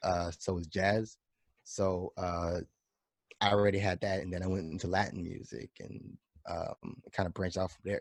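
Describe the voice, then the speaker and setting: Very deep and low in pitch, a man with a New York accent shows big swings in loudness in a dry, close sound with no echo. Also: fairly even intonation, moderate pace. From New York, the Bronx. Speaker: drummer. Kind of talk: casual chat.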